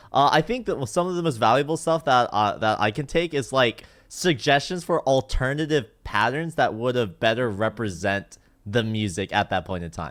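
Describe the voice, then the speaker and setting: On a very clean recording with a silent background, a man talks at a moderate pace and medium pitch with lively intonation. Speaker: streamer and osu mapper. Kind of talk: casual chat. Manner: loud.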